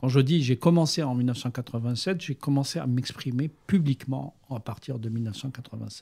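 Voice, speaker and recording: At a very slow pace with hardly any pauses, a man speaks at medium pitch in a somewhat breathy, dark, mellow tone with ordinary pitch variation, the sound dry and close with no echo. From Algeria, Algiers. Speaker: journalist and writer. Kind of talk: interview.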